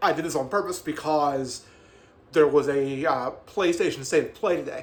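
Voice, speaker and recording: At a moderate pace, a man talks at fairly high pitch with ordinary pitch variation. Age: 40s. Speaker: gaming youtuber. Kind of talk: casual monologue. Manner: halting, many fillers; animated.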